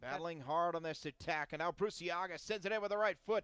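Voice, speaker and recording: With an unremarkable speaking voice, a man talks at a fairly quick pace and a fairly high pitch with ordinary pitch variation, the sound dry and close with no echo. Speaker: sports commentator. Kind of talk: live sports commentary. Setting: broadcast of a match, highlights package. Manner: rising excitement at shootout goals and saves.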